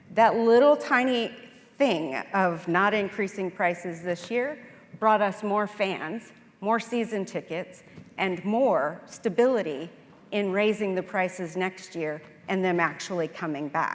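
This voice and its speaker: A woman talks at a fairly slow pace in a plain, everyday voice. Her pitch varies in an ordinary way. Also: medium pitch for a woman. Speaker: accountant, conference speaker. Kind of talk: conference presentation with Q&A.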